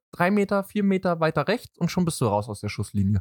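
The speech moves at a fairly quick pace with lively intonation. The recording is very clean, with a silent background and a dry, close sound with no echo. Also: man. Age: 20s. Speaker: boyfriend of a K-pop dancer. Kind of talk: casual chat.

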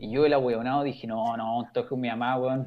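A man with a Chilean accent talks at a moderate pace and medium pitch. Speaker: screenwriter. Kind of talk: casual chat.

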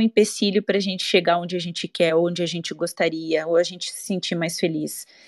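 With an ordinary speaking voice at medium pitch, a woman talks at a fairly quick pace with hardly any pauses and big swings in loudness, in a dry, close sound with no echo over a quiet background. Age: 40s. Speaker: physical education teacher. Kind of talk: casual chat. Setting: online audio room.

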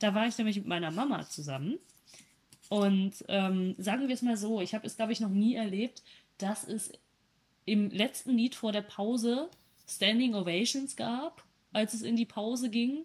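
Somewhat breathy and fairly high-pitched, a woman speaks at a moderate pace with ordinary pitch variation and long, frequent pauses. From Germany, East Westphalia. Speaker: podcast co-host. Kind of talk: casual chat. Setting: video call.

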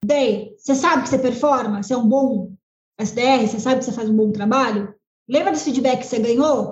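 Her pitch is high and varies in an ordinary way. The woman keeps a moderate pace. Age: 30s. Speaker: sales team leader. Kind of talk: podcast interview.

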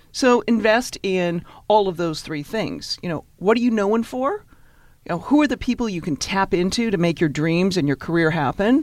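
Against a quiet background, a woman with an unremarkable speaking voice speaks at a moderate pace with lively intonation. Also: medium pitch for a woman. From Canada, Victoria, British Columbia. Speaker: networking expert and author, former lawyer. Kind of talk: interview.

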